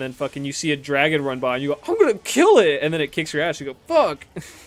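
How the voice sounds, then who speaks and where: A man talks at a very fast pace in a fairly high pitch. There is noticeable background noise. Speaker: gaming streamer. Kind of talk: casual chat. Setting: live stream. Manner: animated.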